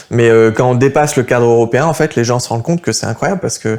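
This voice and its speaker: A man speaks at a medium pitch with normal rise and fall in his voice. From France. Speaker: political youth activist. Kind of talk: interview. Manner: hesitant, many fillers.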